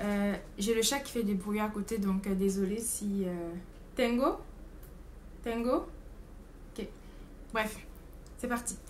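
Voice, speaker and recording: A woman's fairly high voice, very slow and broken by long, frequent pauses, with ordinary pitch variation, big swings in loudness and audible room echo. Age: 20s. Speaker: au pair vlogger. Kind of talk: casual vlog monologue. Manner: hesitant, many fillers.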